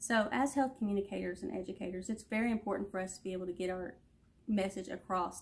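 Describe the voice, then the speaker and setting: A somewhat breathy woman's voice at medium pitch with fairly even intonation. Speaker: student giving a class presentation. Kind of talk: class presentation video. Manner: many ums and pauses.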